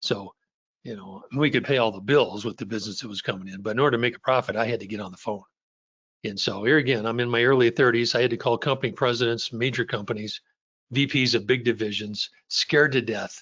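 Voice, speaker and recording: Speaking very fast with fairly even intonation, a man at medium pitch makes big swings in loudness. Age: 70s. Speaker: sales coach. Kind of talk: webinar presentation. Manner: casual, hesitant with repetitions.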